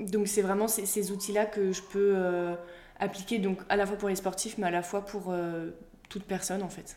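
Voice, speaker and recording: A woman speaks at a moderate pace in a dark, mellow tone, her medium-pitched voice flat and monotone. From Brittany, France. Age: 20s. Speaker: former athlete turned mental coach. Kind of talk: interview. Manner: hesitant, many fillers.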